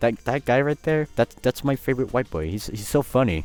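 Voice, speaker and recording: A man with a Spanish accent talks at a moderate pace with lively intonation. Music plays in the background. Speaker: YouTuber. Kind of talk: casual vlog monologue. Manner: casual, hesitant with repetitions.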